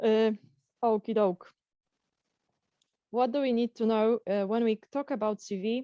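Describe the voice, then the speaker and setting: A woman in a Polish accent, fairly high pitch and a dark, mellow tone, fairly slow and fairly even, with long, frequent pauses and a dry, close sound with no echo. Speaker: career coach. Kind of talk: webinar lecture. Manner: halting.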